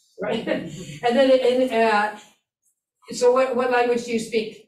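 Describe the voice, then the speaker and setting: Amid audible room echo, a woman with a high pitch speaks at a fairly slow pace with monotone, flat intonation. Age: old. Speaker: instructor. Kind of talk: lecture.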